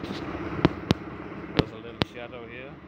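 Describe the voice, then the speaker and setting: Loud background noise surrounds a man as he talks. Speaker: tractor mechanic. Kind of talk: casual walk-around commentary. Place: garage. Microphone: phone near.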